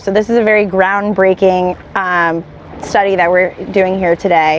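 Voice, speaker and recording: Over light background noise, a woman talks at a fairly quick pace with fairly even intonation and a dry sound that has no echo. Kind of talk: explanatory talk to camera. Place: boat. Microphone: lapel.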